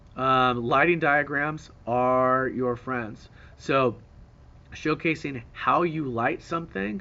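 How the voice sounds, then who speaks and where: The speech goes at a very slow pace with ordinary pitch variation. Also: man, medium pitch for a man. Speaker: teacher. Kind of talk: tutorial.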